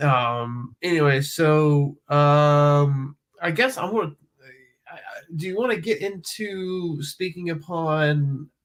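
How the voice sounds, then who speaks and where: A man with a North Carolina accent speaks very slowly. His voice is fairly high, with ordinary pitch variation. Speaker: music professor and composer. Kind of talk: casual interview. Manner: halting, many fillers.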